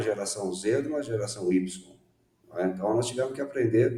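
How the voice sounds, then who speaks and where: Moderate pace and medium pitch from a man, with ordinary pitch variation. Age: 60s. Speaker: education management consultant. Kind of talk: interview. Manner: hesitant, many fillers.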